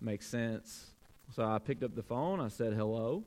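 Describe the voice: A man speaks at a medium pitch and a fairly slow pace. His slightly mellow voice has lively intonation.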